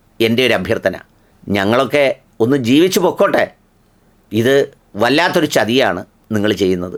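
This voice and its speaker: A man with a plain, everyday voice speaks at a medium pitch. His intonation is lively, yet his loudness stays very even. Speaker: video commentator. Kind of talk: humorous monologue.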